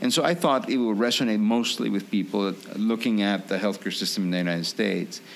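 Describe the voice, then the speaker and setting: A man with a Peruvian accent speaks very fast at a fairly low pitch with hardly any pauses. His loudness stays very even with ordinary pitch variation over noticeable background noise. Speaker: physician and author. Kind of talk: podcast interview. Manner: halting, many fillers.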